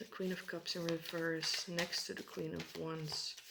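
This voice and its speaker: Noticeable background noise is present throughout. The talking proceeds at moderate speed. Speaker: tarot reader. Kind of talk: tarot reading. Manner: calm.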